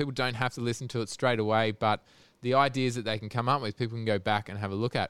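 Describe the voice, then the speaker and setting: With an Australian accent, a man talks at a very fast pace in a medium pitch with fairly even intonation, in a very clean recording with a silent background and a dry, close sound with no echo. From Australia (Sydney). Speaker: podcast host. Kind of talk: casual chat.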